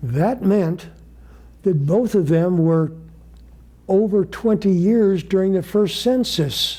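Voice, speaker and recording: A man at a high pitch in a dark, mellow tone, at a very slow pace with long, frequent pauses and very even loudness. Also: ordinary pitch variation. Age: 80s+. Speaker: Bible study teacher. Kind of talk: Bible study lecture with group discussion. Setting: congregation study group, live. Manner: halting.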